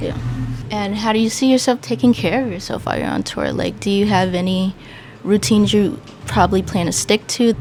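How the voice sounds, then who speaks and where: Music plays behind a woman speaking at a fairly quick pace. Her pitch is medium and her intonation lively. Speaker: interview host. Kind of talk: casual interview questions.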